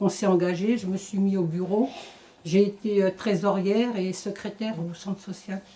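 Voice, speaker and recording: A woman talks at a moderate pace. Her pitch is medium and her intonation monotone and flat. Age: 50s. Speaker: former job-seeker, centre volunteer. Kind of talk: testimony.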